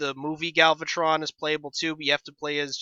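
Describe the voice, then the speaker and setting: A bright, sharp male voice, dry and close with no echo. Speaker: board game video host. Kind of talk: tutorial. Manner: halting, many fillers; unscripted, off the top of his head.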